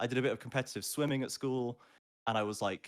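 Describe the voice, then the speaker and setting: This man has a medium-pitched voice with a slight Scottish accent. The recording is very clean, with a silent background. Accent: generic English with slight Scottishness. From Scotland, with childhood moves around the UK. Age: 20s. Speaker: esports play-by-play caster. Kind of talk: casual interview chat. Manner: animated.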